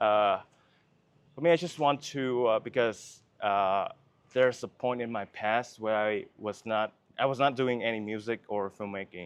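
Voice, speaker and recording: A man with a Vietnamese accent speaks at medium pitch and a fairly slow pace, with ordinary pitch variation. The background is quiet. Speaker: filmmaker. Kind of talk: interview. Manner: halting.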